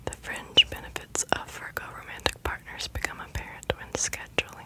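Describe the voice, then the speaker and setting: A woman whispering at a fairly slow pace in a gentle tone, over noticeable background noise. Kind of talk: whispered ASMR reading. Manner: whispered, gentle, soft-spoken.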